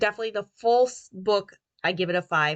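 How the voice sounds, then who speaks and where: A woman speaks at a medium pitch and a moderate pace, her tone bright and sharp with ordinary pitch variation. The sound is dry and close with no echo, over a quiet background. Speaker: book review podcast host. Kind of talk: casual book review monologue. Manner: hesitant, many fillers.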